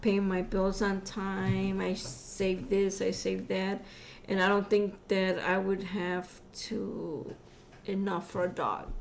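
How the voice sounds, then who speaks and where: Speaking very slowly with monotone, flat intonation, a woman with an American accent talks over music in the background, with audible room echo. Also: medium pitch for a woman. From Chicago. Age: 50s. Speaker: podcast guest, host's mother. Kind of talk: casual chat.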